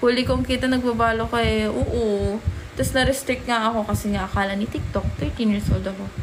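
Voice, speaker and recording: Over noticeable background noise and audible room echo, a woman speaks. Her pace is fairly quick. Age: 20s. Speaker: livestreamer. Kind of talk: casual livestream chat. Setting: livestream.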